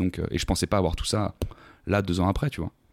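The recording is very clean with a silent background and a dry, close sound with no echo. A man speaks in an energetic tone at a fairly low pitch. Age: 20s. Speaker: sales account manager, podcaster and former athlete. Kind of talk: casual interview conversation.

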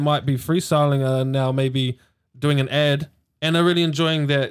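This man has a New Zealand accent and a fairly high pitch. He speaks at a moderate pace with fairly even intonation. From New Zealand, Hamilton. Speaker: dancer and arts worker. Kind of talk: casual chat.

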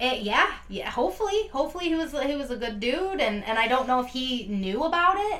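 A woman with a high pitch, very wide pitch swings and an animated tone, talking at a fairly quick pace with hardly any pauses, against noticeable background noise. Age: 30s. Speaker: true crime podcast co-host. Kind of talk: casual chat.

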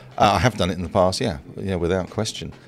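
A man with an Australian accent speaks in a very deep, low pitch and a fairly even intonation. The recording is very clean, with a silent background. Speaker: investing mentor. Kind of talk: casual chat.

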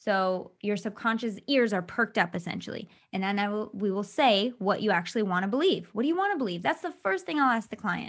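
Speaking at a fairly quick pace with hardly any pauses, a woman with an American accent uses a medium pitch and ordinary pitch variation against a quiet background. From Michigan, US. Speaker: hypnotherapist. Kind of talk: interview.

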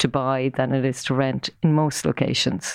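A woman with an Irish accent, a very deep, low pitch, fairly even intonation and a fairly slow pace. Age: 50s. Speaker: property marketing executive. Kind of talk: interview.

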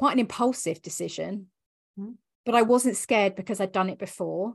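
With vocal fry and ordinary pitch variation, a woman speaks against a quiet background. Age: 40s. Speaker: business coach and mentor. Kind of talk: casual interview.

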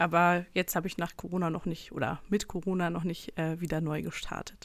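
A woman at a fairly low pitch and moderate pace, on a very clean recording with a silent background. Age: 20s. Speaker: church history researcher. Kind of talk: casual chat. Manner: hesitant, many fillers.

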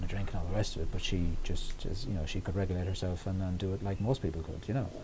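This man's voice is very deep and low, with a dark, mellow tone and a somewhat breathy quality. He talks at a very fast pace. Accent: Irish. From Ireland, County Roscommon (west/Midlands). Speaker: writer and historian. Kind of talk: interview about mental health. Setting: podcast recording. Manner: halting, many fillers.

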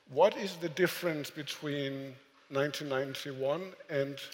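A man speaks with a fairly high pitch. Noticeable background noise runs behind him. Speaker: moderator and editor. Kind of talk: moderated live conversation. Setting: stage with audience.

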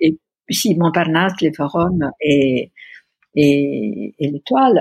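Against a quiet background, a woman with an Italian accent speaks very slowly in a very deep, low voice with lively intonation, the sound dry and close with no echo. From Italy, Pisa. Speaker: art director and exhibition curator. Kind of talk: interview about career. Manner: halting, hesitant with many fillers.

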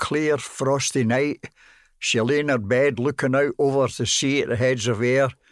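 A man speaks with a Glaswegian accent at a medium pitch. The sound is dry and close, with no echo. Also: very clean recording, silent background. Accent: Glaswegian Scottish. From Glasgow, Scotland. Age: 90s. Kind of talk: casual interview recounting memories.

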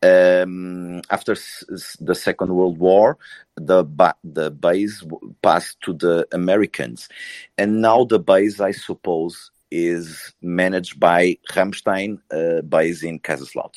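In a very slow, fairly even delivery, a man with a Portuguese accent speaks at a very deep, low pitch, the sound dry and close with no echo against a quiet background. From Portugal. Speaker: panelist on political discussion. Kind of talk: live audio room discussion. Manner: halting.

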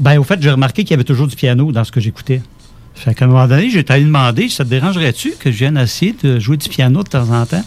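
A man rattles along very fast, his pitch varying in an ordinary way, while noticeable background noise carries on behind him. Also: fairly high pitch for a man. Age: 50s. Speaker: musician and composer. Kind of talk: casual interview.

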